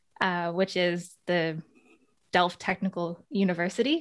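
Very cleanly recorded against a silent background, a woman with an American accent talks at a moderate pace and medium pitch. Hers is a plain, everyday voice. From United States. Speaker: sustainability researcher and podcast host. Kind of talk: interview conversation.

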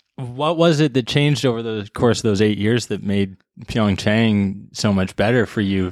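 The recording is very clean, with a silent background. A man uses an ordinary speaking voice at a fairly low pitch and moderate pace, with ordinary pitch variation. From Canada, British Columbia. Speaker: sports podcast host. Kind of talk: casual interview; scripted introduction.

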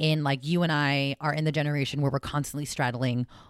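Speaking at a fairly quick pace with an animated tone, a woman with a West Coast accent uses a very deep, low pitch on a very clean recording with a silent background. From South San Francisco, California. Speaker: personal finance coach. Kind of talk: casual interview chat.

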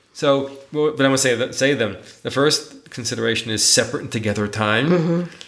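A man with an American accent talks at a fairly quick pace in a medium pitch. It is an unremarkable speaking voice with ordinary pitch variation. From New York City. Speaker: podcast co-host, teacher and author. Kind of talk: casual chat between partners.

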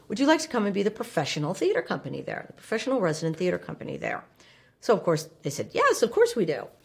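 A woman talking at a very fast pace, with noticeable background noise. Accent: American. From New Jersey, US (Livingston). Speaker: stage actor and theater co-founder. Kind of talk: interview. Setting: studio at a cabaret venue.

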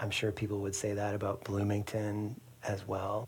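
A somewhat breathy man's voice of fairly low pitch. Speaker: podcast co-host interviewer. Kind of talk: casual interview conversation.

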